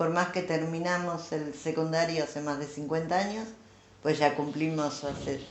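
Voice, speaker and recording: In a Rioplatense accent, a woman with a fairly low pitch talks in fairly even intonation, with audible room echo. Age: 70s. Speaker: former schoolmate interviewee. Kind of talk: interview.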